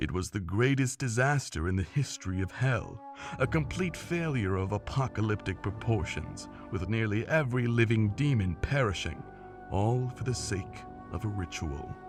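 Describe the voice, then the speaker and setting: Over clear background music, a man does a cartoonish character voice at a fairly low pitch and a moderate pace. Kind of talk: animated story narration. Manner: theatrical, storytelling.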